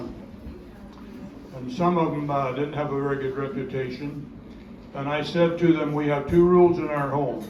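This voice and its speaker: With audible room echo and noticeable background noise, a man talks at a moderate pace with fairly even intonation. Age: 80s+. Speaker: family elder speaker. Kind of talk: reunion speech, reminiscing. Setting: family reunion gathering. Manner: halting, repetitive.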